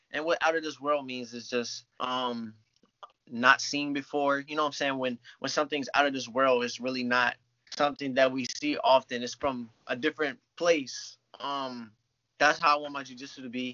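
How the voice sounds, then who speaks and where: A man at medium pitch and a moderate pace, monotone and flat, with big swings in loudness. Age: 20s. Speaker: jiu-jitsu athlete. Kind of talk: casual chat.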